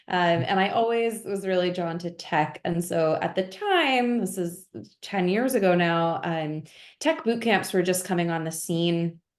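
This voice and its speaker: A woman with an American accent speaks fairly slowly in a normal speaking voice, her pitch medium and its variation ordinary. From US, Pennsylvania (north of Philadelphia). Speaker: engineering director. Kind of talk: webinar interview. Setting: video call.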